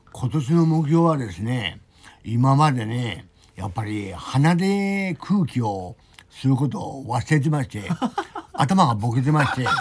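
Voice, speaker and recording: A man speaks at medium pitch and a fairly slow pace. His voice is somewhat breathy, with very wide pitch swings. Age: 60s. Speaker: rehab center member. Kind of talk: casual chat. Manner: halting.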